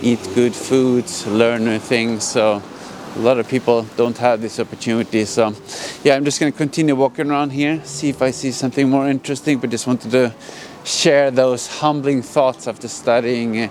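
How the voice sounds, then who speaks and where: A man with a Swedish accent speaks at a medium pitch and a moderate pace. His intonation is fairly even, and there is noticeable background noise. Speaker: vlogger. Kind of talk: casual vlog monologue. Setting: outdoors.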